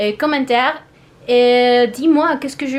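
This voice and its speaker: A woman with a Spanish accent speaks at a high pitch and a fairly slow pace. Her pitch variation is ordinary, with noticeable background noise. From Mexico. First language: Spanish (speaking French). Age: 20s. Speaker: language-learning YouTuber. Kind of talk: vlog monologue. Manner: halting, with hesitations.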